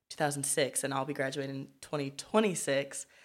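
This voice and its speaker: A woman's very deep, low voice in an American accent at a moderate pace, on a very clean recording with a silent background. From Los Angeles area, California. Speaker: university student. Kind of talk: casual chat.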